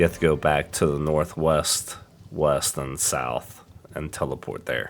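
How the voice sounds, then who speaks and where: A man's very deep, low voice in a flat monotone at a fairly slow pace, with music in the background. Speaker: gamer. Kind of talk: game tutorial narration.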